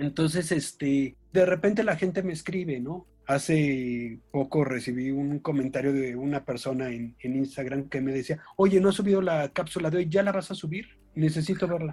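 A man's somewhat breathy voice, fairly high in pitch with a dark, mellow tone, ordinary pitch variation, a moderate pace and hardly any pauses. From Mexico. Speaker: children's author and book designer. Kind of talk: casual interview chat.

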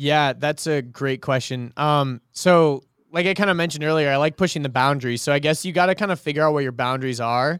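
With an American accent and a plain, everyday voice, the speaker talks at a fairly quick pace with ordinary pitch variation in a very clean recording with a silent background. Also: man, fairly high pitch for a man, dry, close sound with no echo. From US South, Georgia (outside Atlanta). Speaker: creative director at a marketing agency. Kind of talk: casual interview chat.

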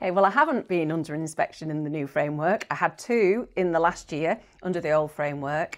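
With a Yorkshire accent, a woman talks at a fairly quick pace with hardly any pauses and ordinary pitch variation. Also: fairly low pitch for a woman. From northern England, Bradford area, West Yorkshire. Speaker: primary school head teacher. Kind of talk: interview.

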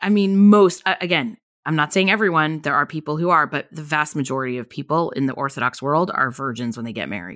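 Speaking at a very fast pace in an American accent, a woman has a very deep, low pitch and lively intonation. The recording is very clean with a silent background. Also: hardly any pauses. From Southern California. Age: 40s. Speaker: podcast host. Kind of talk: casual chat.

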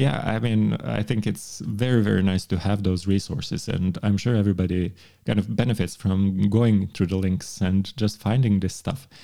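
A man talks at a moderate pace with hardly any pauses. His voice is fairly low, dark and mellow, with ordinary pitch variation. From Montenegro. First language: Montenegrin. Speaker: law professor. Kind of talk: casual chat.

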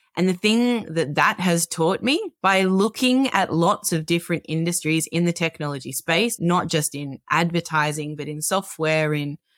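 An Australian-accented woman speaks at a fairly slow pace with lively intonation. The sound is dry and close, with no echo. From Australia, Melbourne. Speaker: tech product executive. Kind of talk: interview.

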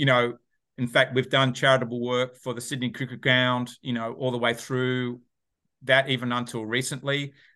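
A man's monotone, flat intonation sits at a medium pitch, and his pace is moderate. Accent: Australian. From Australia. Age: 50s. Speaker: entrepreneur and author. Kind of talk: podcast interview.

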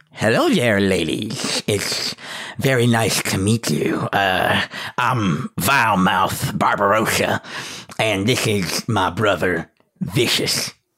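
In a put-on character voice, a man speaks at a very slow pace and fairly low pitch, keeping his loudness very even and his pitch variation ordinary. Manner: polite, greeting a lady.

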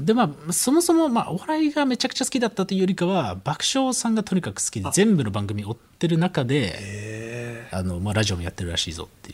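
A man talking at a very fast pace with hardly any pauses, on a very clean recording with a silent background. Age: 20s. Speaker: rapper. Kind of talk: casual chat.

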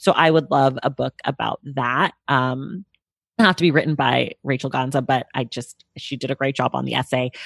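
At a moderate pace, a woman with an American accent speaks in a very deep, low pitch with vocal fry. The sound is dry and close with no echo, over a quiet background. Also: ordinary pitch variation. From California, Bay Area. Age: 30s. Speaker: podcast host and book commentator. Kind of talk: casual interview chat. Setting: remote video call.

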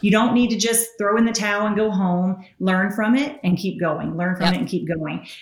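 Amid noticeable background noise, a woman with a Southern US accent talks at a moderate pace and medium pitch, using ordinary pitch variation and hardly any pauses. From Tennessee, US South. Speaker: entrepreneur and author. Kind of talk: casual interview, storytelling.

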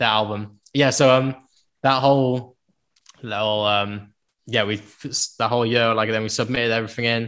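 In a Cardiff accent, a man speaks at a moderate pace and medium pitch with monotone, flat intonation. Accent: Welsh (Cardiff area). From South Wales, Penarth near Cardiff. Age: 20s. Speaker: musician. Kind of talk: casual interview chat. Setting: video call.

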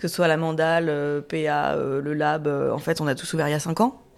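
A woman speaks with a very deep, low pitch. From Paris suburbs, France. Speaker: chef and restaurant owner. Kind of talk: panel discussion. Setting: recorded in a café.

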